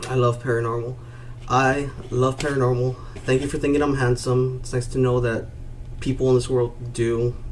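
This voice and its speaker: Noticeable background noise sits under a man's medium-pitched voice. He keeps a moderate pace and a monotone, flat intonation. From Rio Grande Valley, Texas. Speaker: YouTube streamer. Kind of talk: live stream chat.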